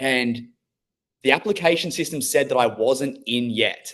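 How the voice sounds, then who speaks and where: Here a man talks at a medium pitch. His pace is moderate and his intonation lively. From Australia. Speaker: former plumber turned online business owner. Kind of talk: interview.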